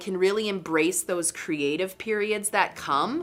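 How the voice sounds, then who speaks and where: Music sits in the background while a woman talks at a moderate pace. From Northern Canada. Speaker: artist and business owner. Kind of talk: interview answer.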